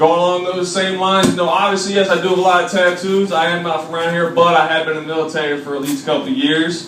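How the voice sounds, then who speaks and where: Loud and delivered at a very fast pace with an American accent, the speech comes through noticeable background noise and audible room echo. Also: man. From Washington DC area. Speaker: comedian. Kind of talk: stand-up. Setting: stage with audience.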